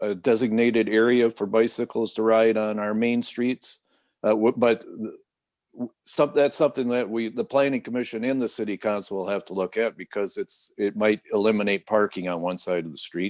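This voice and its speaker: A man with an unremarkable speaking voice and an American accent talks at a moderate pace and medium pitch, with fairly even intonation and hardly any pauses. The sound is dry and close with no echo, over a quiet background. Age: 60s. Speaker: city mayor. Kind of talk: radio interview. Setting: video call.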